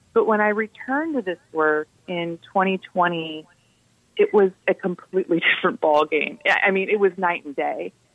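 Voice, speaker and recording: Speaking at a moderate pace, a woman with an American accent has an unremarkable speaking voice, a medium pitch and ordinary pitch variation. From US Midwest, southwest Ohio. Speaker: anti-death-penalty advocacy director. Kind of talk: radio interview.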